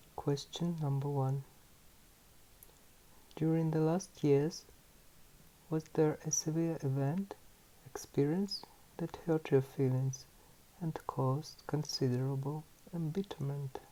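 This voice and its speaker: A man speaks at a very slow pace with long, frequent pauses. His fairly high voice is somewhat breathy, with fairly even intonation. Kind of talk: ASMR book reading.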